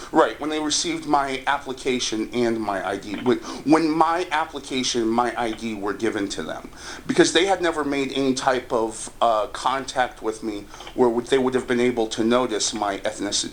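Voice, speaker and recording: Amid noticeable background noise, a man with an American accent talks at medium pitch with ordinary pitch variation. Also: moderate pace. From United States. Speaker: housing discrimination complainant. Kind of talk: phone interview.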